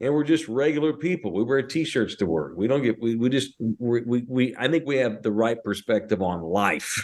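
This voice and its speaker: Here a man with an American accent talks at a moderate pace with hardly any pauses. His medium-pitched voice has lively intonation and very even loudness. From North Texas (Fort Worth). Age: 40s. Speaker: sports radio host. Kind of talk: casual podcast chat. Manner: animated.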